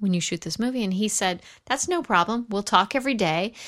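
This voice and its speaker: Speaking very fast with an American accent, a woman uses ordinary pitch variation. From US West Coast, San Fernando Valley, Los Angeles. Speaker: film editor. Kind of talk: interview. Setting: at home.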